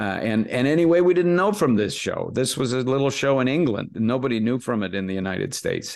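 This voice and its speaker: With lively intonation, a man speaks in a normal speaking voice with an American accent. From US, Los Angeles area. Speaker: actor and impressionist. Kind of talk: interview chat.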